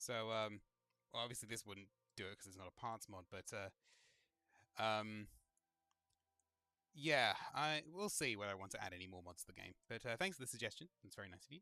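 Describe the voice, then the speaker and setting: A man's fairly low voice with lively intonation at a fairly quick pace, long, frequent pauses, and music in the background. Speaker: gaming streamer. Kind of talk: live gameplay commentary. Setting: livestream. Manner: casual, rambling with fillers; fast.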